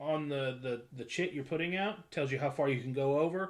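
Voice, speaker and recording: Ordinary pitch variation at a moderate pace. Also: man. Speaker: board game group host. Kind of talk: casual chat. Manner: loud.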